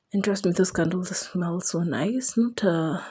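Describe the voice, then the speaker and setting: The voice is quiet and somewhat breathy, with a dark, mellow tone and a moderate pace. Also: woman. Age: young. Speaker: vlogger, new mother. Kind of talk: vlog voiceover. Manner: quiet, lowered voice; casual, chatty.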